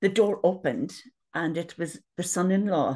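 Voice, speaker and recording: The speaker has a Northern Irish accent and a fairly slow pace. The background is quiet. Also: woman. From Northern Ireland. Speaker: retired nurse. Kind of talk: personal testimony. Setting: video call. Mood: earnest, reflective. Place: home room. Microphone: webcam.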